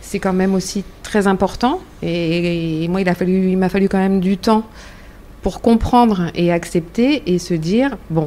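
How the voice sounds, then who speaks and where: A woman with a plain, everyday voice talks at a medium pitch and a fairly slow pace, with ordinary pitch variation. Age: 50s. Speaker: cancer survivor, association volunteer. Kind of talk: round-table discussion.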